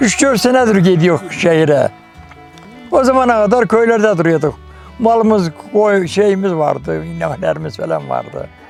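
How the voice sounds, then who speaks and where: A man speaks fairly slowly. Behind him, music plays. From Ordu, Turkey. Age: 80s+. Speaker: wooden spoon craftsman. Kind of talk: interview answer. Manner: friendly, good-humoured.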